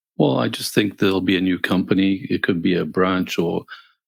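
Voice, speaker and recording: A man with a Greek accent speaks at a moderate pace in a very deep, low voice. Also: dry, close sound with no echo. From Greece. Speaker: podcast co-host, engineer and coder. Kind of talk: casual chat. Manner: halting, many fillers.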